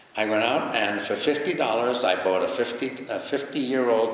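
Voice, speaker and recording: A man with an American accent and a medium pitch speaks at a fairly slow pace with ordinary pitch variation, amid audible room echo and noticeable background noise. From New York. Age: 90s. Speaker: retired broadcaster and charity volunteer. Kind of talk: interview.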